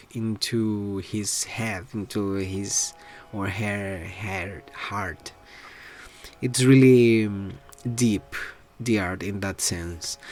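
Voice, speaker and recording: With a Spanish accent, the speaker talks at a very slow pace with fairly even intonation and long, frequent pauses while music plays in the background. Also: man. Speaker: artist vlogger. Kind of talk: casual vlog talk. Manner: halting, many fillers.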